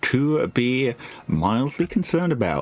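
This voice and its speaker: A man talks at a very slow pace with very wide pitch swings. Noticeable background noise is present. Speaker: vtuber game streamer. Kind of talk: live gameplay commentary. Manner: animated.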